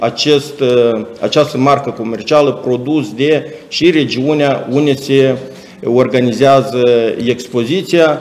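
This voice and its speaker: This man's voice sits fairly high in pitch, with fairly even intonation. He speaks at a very slow pace. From Moldova. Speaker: chamber of commerce official. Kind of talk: presentation. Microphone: webcam.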